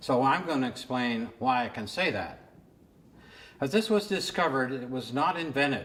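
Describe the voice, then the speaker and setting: Delivered at a fairly slow pace with lively intonation, the speech carries audible room echo and noticeable background noise. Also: man. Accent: American. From California. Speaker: artist and retired teacher. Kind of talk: lecture.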